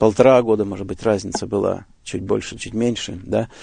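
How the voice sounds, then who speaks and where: A man's dark, mellow voice comes through against a quiet background. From Siberia, Russia. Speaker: evangelist preacher. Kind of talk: interview. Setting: radio studio.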